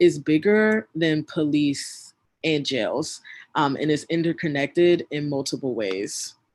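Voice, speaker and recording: A woman with an American accent, very deep and low in pitch, with ordinary pitch variation and a very slow pace. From US South. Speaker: community organizer, workshop facilitator. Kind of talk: online workshop presentation.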